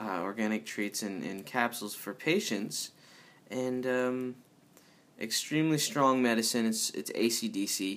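A man talks at a medium pitch with ordinary pitch variation. His pace is fairly slow. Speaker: podcast host. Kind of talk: casual solo monologue. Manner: rambling, filler-heavy.

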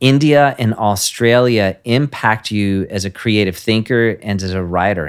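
A man with a normal speaking voice at a fairly low pitch, fairly slow pace and ordinary pitch variation, on a very clean recording with a silent background. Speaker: podcast host. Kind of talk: interview, casual warm chat.

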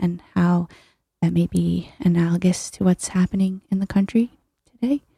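At a moderate pace, a woman with an American accent speaks in a somewhat breathy, dark, mellow tone at a medium pitch. The sound is dry and close with no echo, on a very clean recording with a silent background. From US Northeast (New Haven, Connecticut). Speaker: artist, gallery member. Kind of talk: radio interview.

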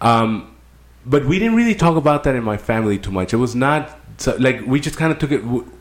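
Here is a normal speaking voice with an American accent. The intonation is lively. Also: man, medium pitch for a man. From Mexico, border region near California. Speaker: army veteran. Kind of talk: casual chat.

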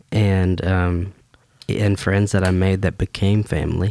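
A man with a very deep, low pitch and a Southern US accent talks at a fairly slow pace in a dry, close sound with no echo. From US South, Baldwin County, Alabama. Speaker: worship pastor. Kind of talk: casual chat.

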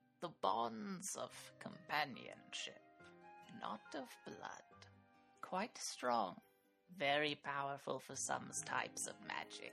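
A put-on character voice at a low-to-middle pitch moves at a fairly slow pace with long, frequent pauses, while faint music plays in the background. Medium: actual play. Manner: shrewd, commanding.

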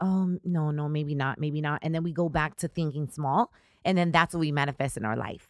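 An American accent comes through with ordinary pitch variation. The recording is very clean and silent in the background, with a dry, close sound and no echo. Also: woman. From Southern California, Riverside. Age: 30s. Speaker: radio and television personality. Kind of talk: casual interview. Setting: studio. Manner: animated.

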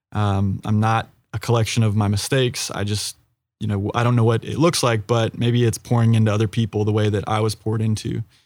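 In a very clean recording with a silent background, a man with an American accent speaks at a fairly quick pace in a fairly low, flat monotone. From US South, Florida. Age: 30s. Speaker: consultant, former youth pastor. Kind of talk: casual team podcast chat.

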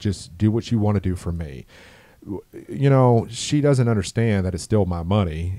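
With an American accent, a man talks at a fairly quick pace and ordinary pitch variation. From Orlando, Florida.

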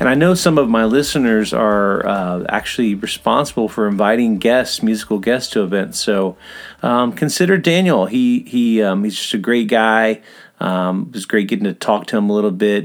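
At a moderate pace, a man with an American accent talks in a fairly low voice with ordinary pitch variation. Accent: Southern US, slightly Australian-tinged. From US South; Atlanta, Georgia. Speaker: podcast host. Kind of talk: casual interview.

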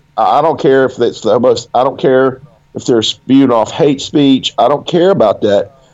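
With a Southern US accent, a man talks at a medium pitch and ordinary pitch variation. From Alabama, US South. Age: 40s. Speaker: fantasy author. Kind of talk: casual interview chat.

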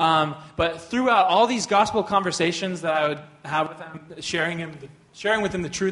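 A high-pitched man with lively intonation at a fairly quick pace, over noticeable background noise. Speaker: co-teacher at a church. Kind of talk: sermon.

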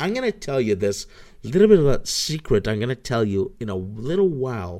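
A man speaks with a Spanish accent, his pitch swinging very widely. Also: very clean recording, silent background. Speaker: podcast host. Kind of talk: solo livestream podcast, casual. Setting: live stream.

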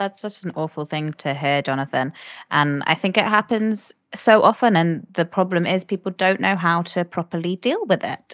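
A woman with a British accent, recorded very cleanly with a silent background and a dry, close sound without echo. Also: medium pitch for a woman, ordinary pitch variation, moderate pace. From UK. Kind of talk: explanatory discussion.

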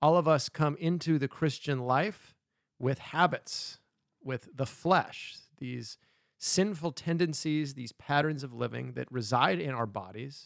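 Using an unremarkable speaking voice, a man talks at a fairly slow pace and fairly high pitch with lively intonation. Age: 30s. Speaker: pastor. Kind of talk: podcast chat on faith and habits. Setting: studio, sitting next to co-host.

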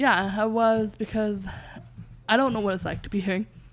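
The recording is very clean, its background silent. A woman talks in an American accent, her intonation fairly even. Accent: deaf speech. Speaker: deaf mentor and guest. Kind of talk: casual interview chat.

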